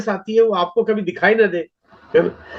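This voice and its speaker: The man's voice has a high pitch and fairly even intonation at a moderate pace. The sound is dry and close, with no echo. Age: 60s. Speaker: network marketing leader. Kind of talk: motivational seminar talk.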